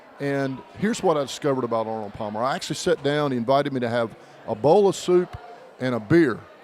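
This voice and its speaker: Talking at a very fast pace, a man with a slight Southern US accent uses lively intonation and a fairly high pitch. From North Carolina, US South. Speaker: podcast co-host. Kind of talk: casual chat.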